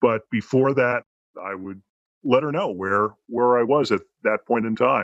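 A fairly slow pace, pitch varying in an ordinary way. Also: man, medium pitch for a man. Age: 60s. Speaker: transgender woman sharing her story. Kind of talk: interview. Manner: upbeat; halting.

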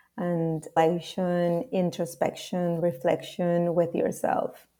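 With a Spanish accent, a woman speaks at a very slow pace in a dark, mellow tone and fairly low pitch, her intonation monotone and flat, on a very clean recording with a silent background. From Peru, Lima. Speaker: marketer and numerology guide. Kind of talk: casual interview chat.

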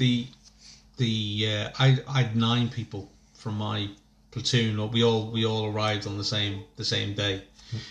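A man's fairly low, somewhat breathy voice, monotone and flat at a fairly slow pace, against a quiet background. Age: 30s. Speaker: podcast host and army veteran. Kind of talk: casual chat.

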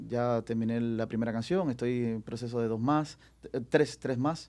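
At a fairly slow pace, a man talks in a medium-pitched voice with a dark, mellow tone and ordinary pitch variation. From Cuba. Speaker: singer. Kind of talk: casual chat.

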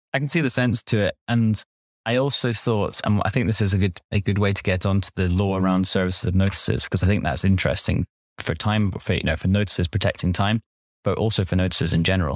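With ordinary pitch variation, a man rattles along at a very fast pace on a very clean recording with a silent background. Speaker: lawyer and podcast co-host. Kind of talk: casual professional legal discussion.

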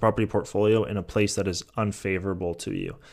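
A man with a Californian accent and a fairly low pitch. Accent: General American (Californian). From US West Coast, San Francisco Bay Area. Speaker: real estate investor and podcast host. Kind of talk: Q&A answering listener questions. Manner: casual, with frequent fillers.

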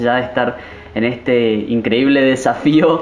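The recording carries noticeable background noise and audible room echo. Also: man. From Argentina, Misiones province. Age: 20s. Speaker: pastor. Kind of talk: interview.

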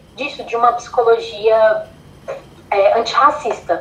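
A woman speaks at a fairly slow pace in a high pitch with ordinary pitch variation, with noticeable background noise behind her. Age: 20s. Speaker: psychology student and model. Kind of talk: casual interview chat.

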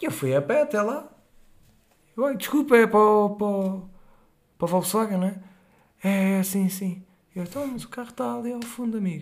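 A high-pitched man with a European Portuguese accent, animated in tone and lively in intonation, at a moderate pace with long, frequent pauses and big swings in loudness. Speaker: storyteller. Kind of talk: casual storytelling. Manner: halting.

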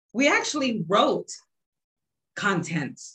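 This woman speaks with an American accent in a bright, sharp tone. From Texas, San Antonio. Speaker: blogger and publisher. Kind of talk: casual chat.

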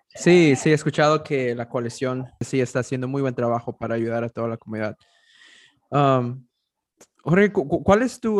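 A man with an ordinary speaking voice talks at a moderate pace in a medium pitch. His intonation is lively, and the sound is dry and close with no echo. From US, arrived from abroad age 11. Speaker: interviewer. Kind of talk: interview.

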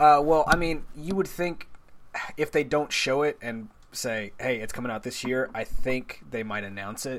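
With an American accent, a man speaks in an ordinary speaking voice at medium pitch, with ordinary pitch variation and a moderate pace. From Texas. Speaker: video game podcast guest. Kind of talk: casual chat.

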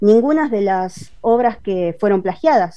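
In a Buenos Aires accent, a woman with a dark, mellow tone talks at a fairly slow pace, her pitch making very wide swings. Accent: Rioplatense Argentine Spanish (porteño). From Buenos Aires, western suburbs. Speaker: comic artist and illustrator. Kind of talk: interview.

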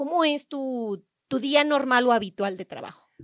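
On a very clean recording with a silent background, a woman can be heard. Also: dry, close sound with no echo. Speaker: podcast host. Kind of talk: interview conversation.

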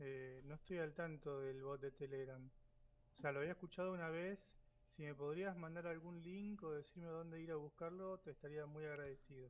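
A man with an Argentine accent, fairly high pitch, fairly even intonation and a moderate pace. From Argentina. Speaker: graduate student. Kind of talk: casual chat.

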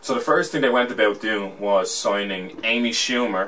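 A man talks with an Irish accent. His pitch is fairly low and his pace moderate. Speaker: podcast host. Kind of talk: casual banter.

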